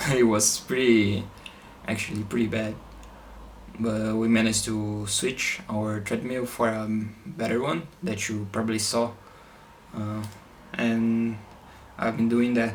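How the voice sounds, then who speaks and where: A man speaks slowly-ish at a medium pitch, with fairly even intonation and long, frequent pauses. Noticeable background noise can be heard. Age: 20s. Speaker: triathlete and engineering student. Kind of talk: casual talk to camera.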